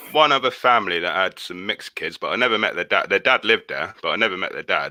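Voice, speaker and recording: On a very clean recording with a silent background, a man talks at a very fast pace with a dry, close sound and no echo. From Somerset, England. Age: 30s. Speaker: friend of host. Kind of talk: casual chat.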